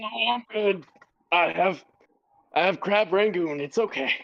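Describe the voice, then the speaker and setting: A female-sounding voice at a middle pitch takes on a raspy, put-on character voice at a fairly slow pace. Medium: actual play.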